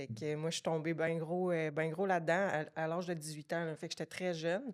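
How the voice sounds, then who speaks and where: In a very clean recording with a silent background, a woman with a Quebec accent speaks in a fairly low pitch with monotone, flat intonation. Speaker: fitness coaching business owner. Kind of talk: podcast interview, personal story.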